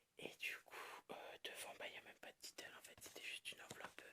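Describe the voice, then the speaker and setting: A woman speaks in a whisper. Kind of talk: ASMR whispered reading and show-and-tell of a collection. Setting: quiet room, dog barking in background. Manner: whispered, soft-spoken.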